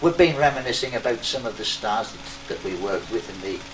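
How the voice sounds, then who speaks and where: Music plays in the background. The speaker talks at a moderate pace with a North East England accent. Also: man. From Sunderland, England. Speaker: variety entertainer and pianist. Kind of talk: casual reminiscence to camera. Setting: theatre, recorded on Super 8 magnetic sound.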